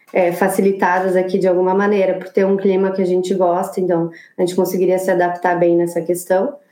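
Amid noticeable background noise, a woman at medium pitch talks fairly quickly with hardly any pauses and a monotone, flat intonation. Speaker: architect living abroad. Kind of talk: casual interview.

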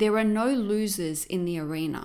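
A woman's medium-pitched voice with an animated tone. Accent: Australian. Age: 50s. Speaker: business coach and podcast host. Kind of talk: motivational monologue.

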